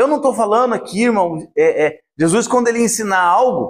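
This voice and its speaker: A man's animated, high-pitched voice at a moderate pace, with ordinary pitch variation. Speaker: preacher. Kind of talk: sermon.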